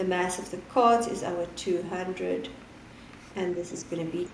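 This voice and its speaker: Noticeable background noise fills the recording. A woman talks amid audible room echo. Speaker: physics teacher. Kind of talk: lesson.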